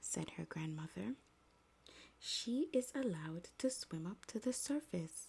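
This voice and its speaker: Soft-spoken, with a gentle, calm tone, the voice moves at a very slow pace. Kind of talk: soft-spoken ASMR story reading. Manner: soft-spoken, gentle, calm.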